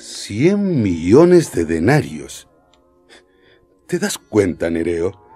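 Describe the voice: With faint music in the background, a man puts on a character voice that is low, dark and mellow with a slightly husky edge, swinging very widely in pitch at a very slow pace.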